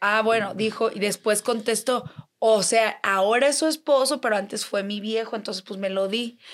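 A woman with a fairly high pitch, an animated tone and a moderate pace. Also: ordinary pitch variation. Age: 20s. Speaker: influencer. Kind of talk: casual chat.

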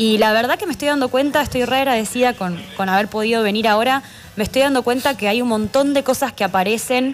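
A woman talks at a fairly quick pace and a high pitch. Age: 20s. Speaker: filmmaker. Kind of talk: interview. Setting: radio studio.

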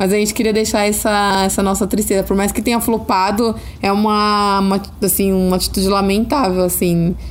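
Fairly quick speech in an interior São Paulo accent, with very even loudness. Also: woman. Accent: caipira, with retroflex R. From rural Brazil (interior, caipira). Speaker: podcast host. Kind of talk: casual chat. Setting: at home, sitting on a bed. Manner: animated; shrill at times.

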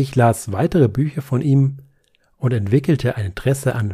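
A man's voice carries a dark, mellow tone and comes out somewhat breathy. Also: very clean recording, silent background. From Nuremberg, Franconia. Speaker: author. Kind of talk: literary reading.

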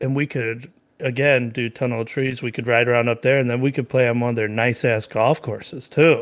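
In a very clean recording with a silent background, a man talks at a fairly quick pace in a monotone, flat way. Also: medium pitch for a man. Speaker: podcast co-host. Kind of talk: casual chat. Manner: conversational, interrupts often.

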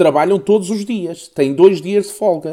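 A man speaks at a moderate pace in a dark, mellow tone. The recording is very clean, the background silent. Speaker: podcast co-host. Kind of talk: casual chat.

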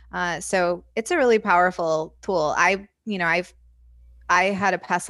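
The recording is very clean, with a silent background. A woman speaks in a fairly low pitch with vocal fry and a bright, sharp tone. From Indiana. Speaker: hypnotherapist and life coach. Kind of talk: interview.

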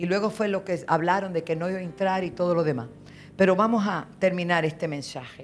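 A woman's fairly low voice with ordinary pitch variation at a fairly quick pace, audible room echo, and music in the background. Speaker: apostle and pastor. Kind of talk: sermon. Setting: church with congregation. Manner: animated.

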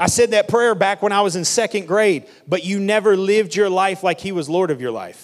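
A man talks at a fairly quick pace in a voice that is high for a man. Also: ordinary pitch variation. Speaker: pastor. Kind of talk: sermon. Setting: church stage with audience. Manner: fast when excited.

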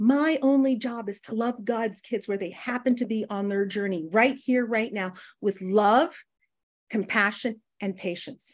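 A woman with a Canadian accent speaks at a fairly slow pace in a fairly high pitch, her tone animated. The recording is very clean, with a silent background. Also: ordinary pitch variation. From northern Canada. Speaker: recovering alcoholic speaker. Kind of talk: recovery meeting talk.

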